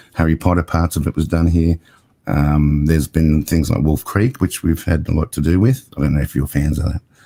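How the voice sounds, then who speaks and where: A man with an Australian accent speaks at a fairly quick pace, his very deep, low pitch showing ordinary variation. His dark, mellow tone holds very even loudness in a dry, close sound with no echo. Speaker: cinematographer and TV producer. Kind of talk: casual interview chat.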